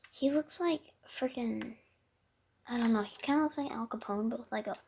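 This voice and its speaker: A soft-spoken woman talks at a fairly quick pace in a high voice. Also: ordinary pitch variation. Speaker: podcast host. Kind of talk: casual chat.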